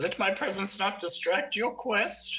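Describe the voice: This is a put-on character voice pitched fairly high. The pace is fairly slow.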